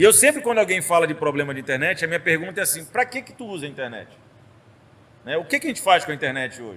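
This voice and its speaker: A man speaks at a very fast pace. His high-pitched voice makes very wide pitch swings. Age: 40s. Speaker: state tech secretary, former professor. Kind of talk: casual podcast interview. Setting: studio.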